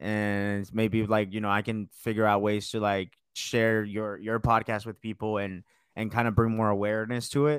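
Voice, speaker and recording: A man with an American accent speaks at medium pitch and a moderate pace in an unremarkable speaking voice. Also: very clean recording, silent background. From US South, Georgia (Marietta). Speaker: radio producer. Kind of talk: casual interview.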